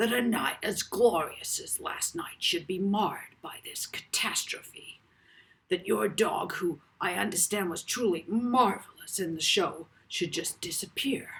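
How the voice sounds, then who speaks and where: A man puts on a growling, gravelly character voice, pitched high and delivered at a fairly slow pace. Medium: read story. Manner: oily, sympathetic.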